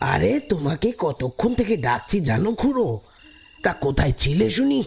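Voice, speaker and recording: Using a put-on character voice, a man speaks high and at a fairly slow pace with very wide pitch swings. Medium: audio drama. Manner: folksy, chatty.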